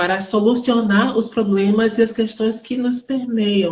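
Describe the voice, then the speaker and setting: The voice is somewhat breathy and the pace fairly slow. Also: woman. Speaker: theater artist. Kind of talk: live interview. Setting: online live stream. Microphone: unstable internet connection.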